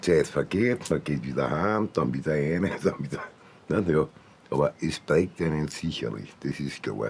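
A man's very deep, low voice with vocal fry, lively intonation, a fairly slow pace and long, frequent pauses, over light background noise. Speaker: former prison inmate. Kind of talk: interview answer in a TV documentary. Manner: halting, hesitant. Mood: casual, gruff. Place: home room.

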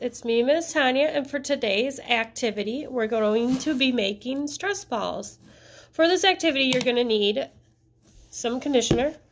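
Speaking at a moderate pace with ordinary pitch variation, a woman's high-pitched voice comes through over light background noise. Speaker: teacher. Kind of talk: craft tutorial for families. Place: classroom. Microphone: phone near.

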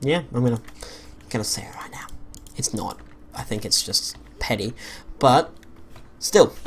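Whispering at a moderate pace with an Australian accent, the speaker leaves long, frequent pauses. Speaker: gaming YouTuber. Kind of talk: let's play commentary. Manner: hesitant, many fillers.

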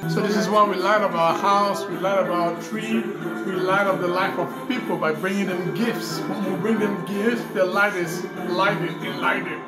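A man at a moderate pace with hardly any pauses, over loud music in the background. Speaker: vlogger. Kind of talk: casual talk, preaching tone. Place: home room. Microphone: phone near.

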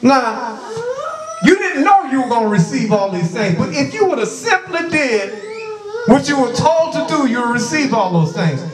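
With noticeable background noise behind him, a man speaks at a moderate pace in an extremely high pitch that makes very wide swings. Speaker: preacher. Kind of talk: sermon with opening prayer. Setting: church. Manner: fervent, repetitive, exhortative. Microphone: handheld.

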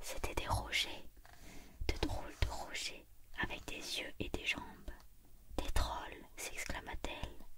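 Someone whispers at a very slow pace over loud background noise. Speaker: storybook reader. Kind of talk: reading a children's story aloud. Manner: whispered storybook reading, ASMR style.

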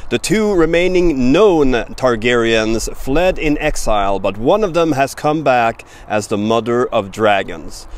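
A man is speaking. He takes a fairly slow pace. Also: dry sound with no echo. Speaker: language teacher. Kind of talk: tutorial. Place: forest. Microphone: phone near.

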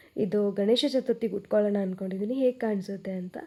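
This woman has a medium pitch, a dark, mellow tone, and fairly even intonation. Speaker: vlogger. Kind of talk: casual vlog. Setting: at home.

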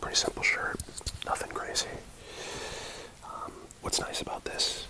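A man whispers at a moderate pace. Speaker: ASMR creator. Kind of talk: ASMR unboxing ramble. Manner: whispered, rambling. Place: home room. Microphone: earbuds.

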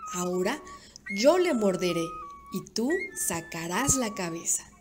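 Music plays behind a voice that moves at a fairly slow pace with very wide swings in pitch. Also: woman. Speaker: volunteer radio announcer. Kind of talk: children's story reading.

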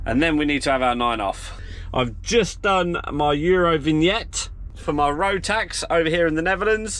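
A man speaks at a moderate pace and a fairly high pitch. His pitch varies in an ordinary way.

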